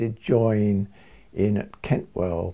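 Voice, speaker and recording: A somewhat breathy voice with an English accent, a dark, mellow tone and ordinary pitch variation. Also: man. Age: 80s+. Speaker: retired doctor and early music reenactor. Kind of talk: documentary interview.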